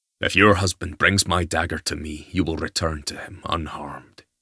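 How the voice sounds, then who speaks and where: A man growls in a put-on character voice with very deep, low pitch and fairly even intonation. His loudness swings widely at a moderate pace, in a dry, close sound with no echo. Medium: read story. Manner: stern, curt, self-assured.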